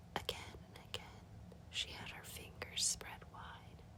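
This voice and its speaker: The whispering comes at a very slow pace. Behind it, background noise is noticeable. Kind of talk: ASMR book reading. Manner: whispered, soft-spoken.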